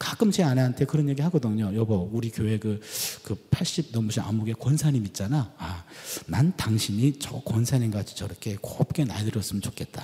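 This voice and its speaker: Using a normal speaking voice, a man talks at a medium pitch. His moderate pace comes with lively intonation. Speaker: Old Testament professor preaching. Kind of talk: sermon.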